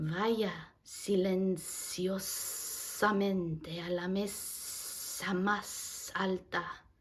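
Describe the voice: A put-on character voice, female-sounding and at a medium pitch, moves at a very slow pace with monotone, flat intonation. Hissing and an audible echo run through the recording.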